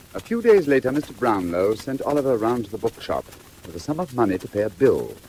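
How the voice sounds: A man's medium-pitched voice, slightly mellow in tone, with big pitch swings and a fast pace.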